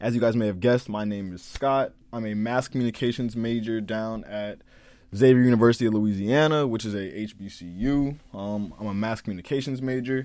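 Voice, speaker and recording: A man with an American accent and an ordinary speaking voice talks at a fairly quick pace and medium pitch, with ordinary pitch variation and big swings in loudness, on a very clean recording with a silent background. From Maryland, Prince George's County (DC area). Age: young. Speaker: college student podcaster. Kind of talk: casual monologue podcast.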